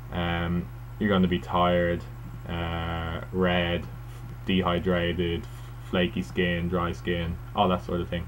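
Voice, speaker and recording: A man speaks very slowly in a very deep, low pitch. There is audible room echo. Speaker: first-time video blogger. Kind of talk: casual vlog monologue. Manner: hesitant, many fillers.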